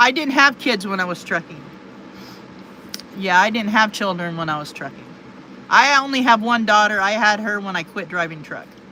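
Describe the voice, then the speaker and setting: Over noticeable background noise, the speaker talks at a moderate pace with lively intonation, big swings in loudness, and long, frequent pauses. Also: woman, medium pitch for a woman. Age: 50s. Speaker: livestreamer, retired truck driver. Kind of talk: casual live stream chat reading viewer comments.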